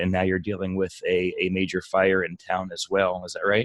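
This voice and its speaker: A fairly quick pace with a slight New Jersey accent. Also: man. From New Jersey Shore. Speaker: podcast host. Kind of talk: interview.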